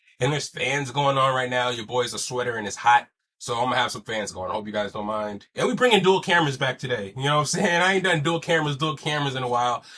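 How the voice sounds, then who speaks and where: Very fast speech from a man at medium pitch, bright and sharp in tone, with lively intonation and hardly any pauses. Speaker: podcast host. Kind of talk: casual chat. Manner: louder than last episode.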